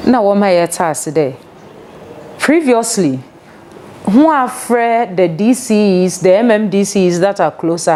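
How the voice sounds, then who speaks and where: A woman is talking, with noticeable background noise behind her. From Ghana, Central Region. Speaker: local government official. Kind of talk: interview.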